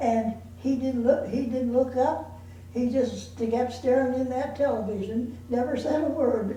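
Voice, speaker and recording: A woman's high voice, fairly slow with fairly even intonation, over noticeable background noise. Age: 80s+. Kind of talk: life story told to family. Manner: hesitant, halting.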